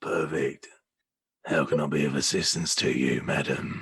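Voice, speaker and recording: A man's put-on character voice, raspy and very deep, at a moderate pace with very even loudness. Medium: actual play. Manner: courteous, formal.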